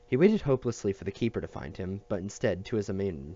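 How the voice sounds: Lively intonation in a natural reading voice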